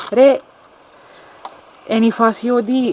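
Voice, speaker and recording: A woman with a fairly high pitch and a Cypriot accent, over noticeable background noise. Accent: Cypriot Greek. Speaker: paranormal investigator. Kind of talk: casual chat. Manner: halting.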